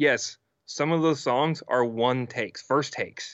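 A man speaks in an unremarkable speaking voice, keeping a moderate pace. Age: 30s. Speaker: music producer and mixing engineer. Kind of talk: casual chat.

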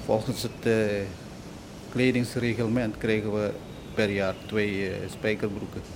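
Delivered in a flat monotone at a fairly slow pace, the speech has long, frequent pauses, audible room echo and noticeable background noise. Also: man, fairly low pitch for a man. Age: 40s. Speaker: steelworks area supervisor. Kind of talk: interview testimony. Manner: hesitant.

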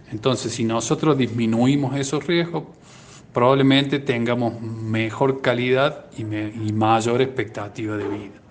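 This is a plain, everyday voice, moving at a fairly slow pace with fairly even intonation. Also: man, medium pitch for a man. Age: 50s. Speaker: cardiologist. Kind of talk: radio interview.

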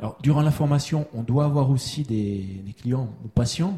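This voice moves at a fairly slow pace with lively intonation. Its tone is dark and mellow, and somewhat breathy. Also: man. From Switzerland. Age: 40s. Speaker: kinesiology practitioner. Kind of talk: testimony. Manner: halting.

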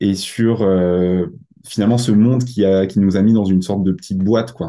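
A man's dark, mellow tone comes through with a quiet background behind him. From Alsace, Mulhouse. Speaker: youth worker and musician. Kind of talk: interview. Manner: hesitant, many fillers.

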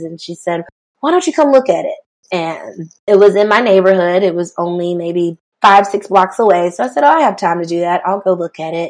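At a fairly quick pace, a woman talks in a plain, everyday voice of medium pitch. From US South, South Carolina (Rock Hill). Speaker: dance studio founder, former teacher. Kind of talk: interview, casual chat.

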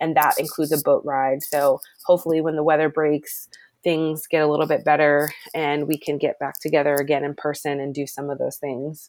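Speaking with a Maryland accent, a woman with a very deep, low pitch talks at a fairly quick pace in a monotone, flat delivery. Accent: Mid-Atlantic American (Maryland). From US, Maryland (Glen Burnie). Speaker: environmental program manager. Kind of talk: interview.

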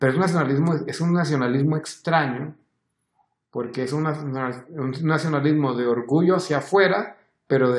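Fairly high pitch for a man, an ordinary speaking voice, ordinary pitch variation, and a moderate pace. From Honduras. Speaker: tech commentator. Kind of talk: casual chat.

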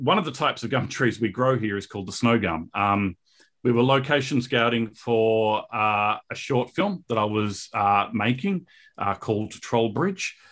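Against a quiet background, a man speaks at a fairly slow pace. His pitch is fairly low, with ordinary variation. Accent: Australian. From Australia, Perth. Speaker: filmmaker. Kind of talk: interview. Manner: halting, many fillers.

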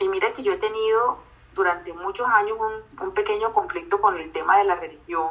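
A woman with a strong Colombian coastal accent, moderate pace and ordinary pitch variation. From Colombia, Barranquilla. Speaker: psychologist and life coach. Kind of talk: casual interview.

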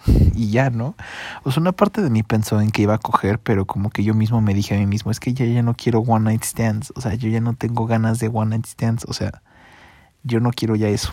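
A man with a Mexican accent speaks quietly at a fairly quick pace and medium pitch, with fairly even intonation, in a dry, close sound with no echo on a very clean recording with a silent background. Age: 20s. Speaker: podcaster. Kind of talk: personal monologue. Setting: at home under bedsheets. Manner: hushed, quiet.

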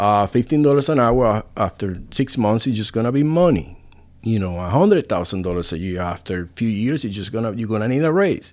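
A man with a Spanish accent talks at a fairly quick pace and medium pitch. His intonation is lively, and the recording is very clean with a silent background. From Puerto Rico. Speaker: restaurant owner and chef. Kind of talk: casual interview.

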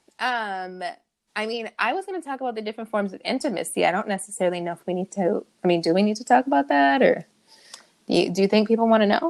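A woman's animated, fairly high voice in an American accent at a very fast pace, with big swings in loudness and a dry, close sound with no echo. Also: lively intonation. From California. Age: 30s. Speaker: podcast co-host. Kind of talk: casual chat. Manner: animated, laughing often.

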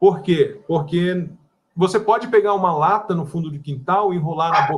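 Moderate pace with ordinary pitch variation. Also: man. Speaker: wireless internet provider consultant and instructor. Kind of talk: casual live-stream interview. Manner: blunt, direct.

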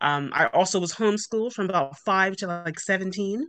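The speech moves at a fairly quick pace with fairly even intonation. The background is quiet. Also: woman. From Bermuda. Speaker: business owner. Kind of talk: interview.

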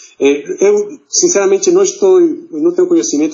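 A man speaks at a moderate pace. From Mexico City. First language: Spanish (speaking Portuguese). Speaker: diplomat. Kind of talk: interview. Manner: halting.

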